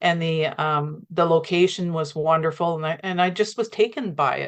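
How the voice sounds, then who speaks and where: This woman speaks with a Canadian accent at a moderate pace, her fairly low pitch carrying ordinary pitch variation over a quiet background. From Canada. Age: 60s. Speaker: pilgrim, gardener. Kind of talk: interview conversation. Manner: halting.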